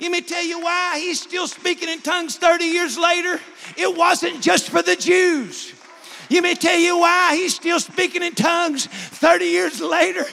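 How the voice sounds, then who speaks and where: Over noticeable background noise, a man with an extremely high pitch speaks in a raised, projected voice at a fairly slow pace with monotone, flat intonation. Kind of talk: preacher prayer at an altar call, closing a sermon. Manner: fervent, urgent, pleading, building to a climax.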